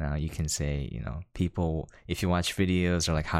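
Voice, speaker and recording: The voice belongs to a man. Nothing can be heard behind him, and the recording is very clean. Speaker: podcast host and content creator. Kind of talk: casual chat.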